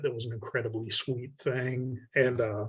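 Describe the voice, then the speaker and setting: A somewhat breathy man's voice at medium pitch, with fairly even intonation. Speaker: horror fiction writer. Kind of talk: casual chat. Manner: monotone.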